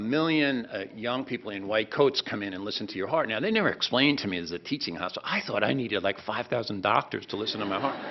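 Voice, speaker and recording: A man with a fairly low voice and lively intonation. He talks very fast, with hardly any pauses. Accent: New Jersey. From New Jersey, Jersey City. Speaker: professor. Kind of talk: welcome speech. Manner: casual, animated.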